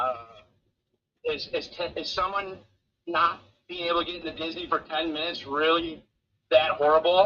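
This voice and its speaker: Speaking in an American accent, a man with a high voice leaves long, frequent pauses. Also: fairly even intonation, moderate pace. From Michigan, US. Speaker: trucker live-streamer covering a convoy. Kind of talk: casual live-stream commentary. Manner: halting, many fillers.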